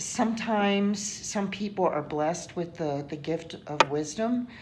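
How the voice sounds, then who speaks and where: Audible room echo surrounds a woman speaking fairly slowly at medium pitch with ordinary pitch variation. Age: 60s. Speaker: interviewee. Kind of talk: interview. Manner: halting, many fillers and repetitions.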